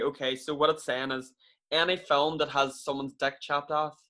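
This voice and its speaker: Speaking with an Irish accent, a man has a bright, sharp tone. His pitch is fairly high and his pace moderate. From Ireland. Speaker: podcast co-host. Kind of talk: casual chat, comedic banter.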